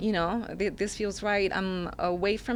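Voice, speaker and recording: A woman speaks with a Spanish accent over noticeable background noise. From Mexico. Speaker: single mother. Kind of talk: interview answer.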